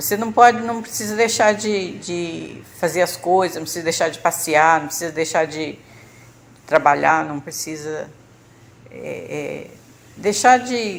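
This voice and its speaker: A woman talks at a fairly slow pace with lively intonation and a medium pitch. Her volume swings widely. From Brazil, Rio de Janeiro state. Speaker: church member sharing health testimony. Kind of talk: testimony. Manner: halting, with fillers and repetitions.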